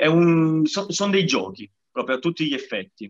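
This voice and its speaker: A man speaks at a fairly slow pace. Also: dry, close sound with no echo. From Sicily. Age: 30s. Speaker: parkour association president. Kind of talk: casual interview.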